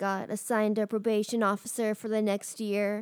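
A normal speaking voice at a moderate pace, dry and close with no echo, on a very clean recording with a silent background. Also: woman. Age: 20s. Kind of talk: casual chat.

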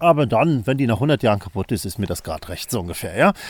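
Lively in intonation, a man's medium-pitched voice carries a dark, mellow tone on a very clean recording with a silent background. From northern Germany, island of Rügen (former East Germany). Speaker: bell researcher and theologian. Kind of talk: interview. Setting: soundproof bell laboratory.

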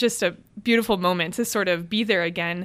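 On a very clean recording with a silent background, a woman with an American accent uses an unremarkable speaking voice at a moderate pace with ordinary pitch variation. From Cleveland, Ohio. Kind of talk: interview about faith and vocation.

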